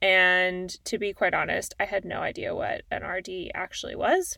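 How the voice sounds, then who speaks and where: A woman speaks at a moderate pace with a Canadian accent. The recording is very clean, with a silent background. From Calgary, Alberta, Canada. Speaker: podcast host, dietitian. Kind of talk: solo podcast monologue.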